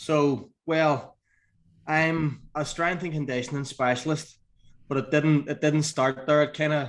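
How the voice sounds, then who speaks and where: A man speaks in an Irish accent at a fairly slow pace, his pitch fairly high. His intonation is monotone and flat, on a very clean recording with a silent background. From Northern Ireland. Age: 40s. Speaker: strength and conditioning coach. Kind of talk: podcast interview.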